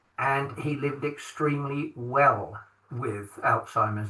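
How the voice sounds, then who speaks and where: A man with an English accent talks fairly slowly, his intonation fairly even. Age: 60s. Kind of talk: podcast interview. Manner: halting, many fillers.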